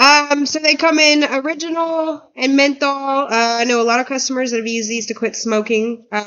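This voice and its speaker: This woman has a high pitch. Her pace is moderate. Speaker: shop owner presenting products. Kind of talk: product demo on livestream. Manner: hesitant, many fillers. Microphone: mic moved away, cutting out.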